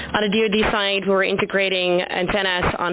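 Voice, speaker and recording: Through noticeable background noise, a woman speaks at a medium pitch with fairly even intonation. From Netherlands. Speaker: startup founder. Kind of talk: conference presentation. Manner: loud.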